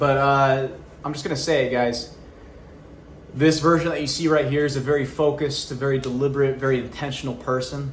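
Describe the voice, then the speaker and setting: Moderate-paced speech from a man pitched fairly high, noticeable background noise and audible room echo around it. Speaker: YouTuber and actor. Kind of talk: personal update vlog. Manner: loud, projecting; animated.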